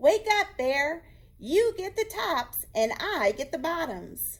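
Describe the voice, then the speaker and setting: A woman in a put-on character voice speaks squeakily at an extremely high pitch, with very wide pitch swings and a fairly slow pace. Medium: read story. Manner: friendly, wheedling.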